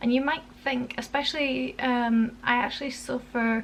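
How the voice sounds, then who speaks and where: At a moderate pace, a woman with a high voice speaks in a Yorkshire accent. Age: 20s. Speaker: parenting vlogger. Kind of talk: casual vlog talk. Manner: casual, halting with fillers.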